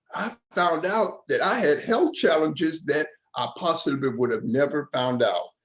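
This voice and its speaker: Lively in intonation, a man talks at a moderate pace in a fairly high voice. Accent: Southern US. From Georgia, US South. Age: 70s. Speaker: community panelist living with HIV. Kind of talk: panel discussion.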